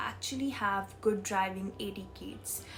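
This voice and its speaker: In a room with audible echo, a woman talks at a moderate pace. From India. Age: 20s. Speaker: vlogger. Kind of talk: casual vlog. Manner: hesitant, with fillers.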